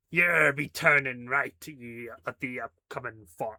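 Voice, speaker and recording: A man does a put-on character voice at medium pitch. He delivers it at a fairly slow pace. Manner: silly, exaggerated.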